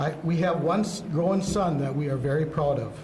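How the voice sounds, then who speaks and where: Amid noticeable background noise and audible room echo, a man with a Wisconsin accent speaks in a high voice with ordinary pitch variation. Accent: Upper Midwest (Wisconsin). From central Wisconsin (Marshfield). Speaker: mayoral candidate, city council member. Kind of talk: opening statement at candidate forum. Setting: community center forum, broadcast live. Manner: halting, repeats words.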